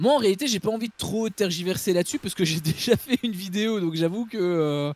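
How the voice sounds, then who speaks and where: A man with a Belgian accent, fairly quick pace and ordinary pitch variation, in a dry, close sound with no echo. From Belgium. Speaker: film critic YouTuber. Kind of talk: casual film review discussion.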